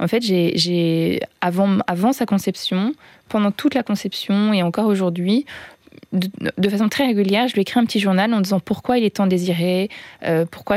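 In a very clean recording with a silent background and a dry, close sound with no echo, a woman talks at a fairly quick pace, her medium pitch carried by fairly even intonation. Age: 40s. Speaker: single mother by choice. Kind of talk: personal testimony. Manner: halting, many hesitations.

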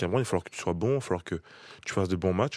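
The recording is very clean, with a silent background, and the intonation is lively. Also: man. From France, Paris region. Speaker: rugby player. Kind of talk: interview. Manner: halting.

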